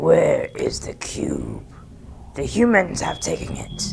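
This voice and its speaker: Against light background noise, a man does a raspy put-on character voice at a fairly slow pace. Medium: solo performance. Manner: menacing, sneering.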